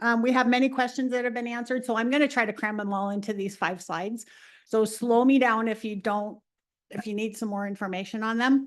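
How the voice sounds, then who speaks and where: A woman at a fairly quick pace, with ordinary pitch variation, against a quiet background. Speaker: transit agency director. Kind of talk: presentation to city council. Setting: council chambers. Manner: fast.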